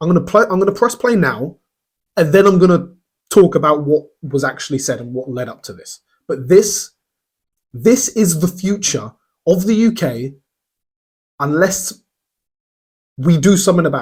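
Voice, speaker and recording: At a moderate pace, a man with a high pitch and an animated tone uses lively intonation, big swings in loudness, and long, frequent pauses. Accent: English. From England. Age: 20s. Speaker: political commentator, streamer. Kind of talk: reaction commentary.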